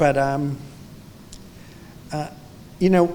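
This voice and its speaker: There is audible room echo as a man talks in an American accent with ordinary pitch variation. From New York City. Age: 70s. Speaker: photographer. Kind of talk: onstage interview. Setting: museum library with audience. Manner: halting.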